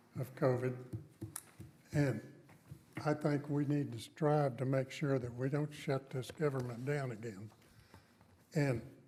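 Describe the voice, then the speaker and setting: A man speaks at a moderate pace with fairly even intonation. His voice is somewhat breathy, with a dark, mellow tone. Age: 80s+. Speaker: city council member. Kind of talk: council meeting remarks. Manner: halting, repeats words.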